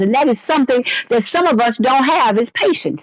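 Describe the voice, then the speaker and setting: Her high voice animated in tone, a woman speaks with very wide pitch swings. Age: 60s. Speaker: fitness coach and gym owner. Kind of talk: casual podcast monologue. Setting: indoors seated in a chair.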